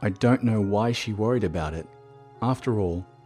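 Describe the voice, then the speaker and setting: A man talks while music plays in the background. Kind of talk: horror story narration. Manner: speech impediment.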